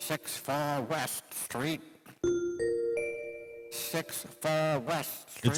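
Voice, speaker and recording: Over loud music in the background, a man uses a put-on character voice at a fairly high pitch. He talks at a very slow pace with long, frequent pauses. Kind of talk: 1940s radio acting. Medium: old radio play. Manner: flat, repetitive announcing.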